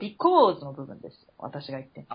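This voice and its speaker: A woman speaks in an animated tone with very wide pitch swings and a somewhat breathy quality. Her pace is moderate. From Japan, Chiba. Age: 30s. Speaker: podcast co-host. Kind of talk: casual chat.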